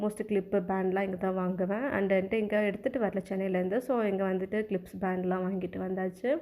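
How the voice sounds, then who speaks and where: Her voice medium in pitch, a woman speaks in a dark, mellow tone with monotone, flat intonation. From Palani, Tamil Nadu. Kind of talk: casual vlog narration.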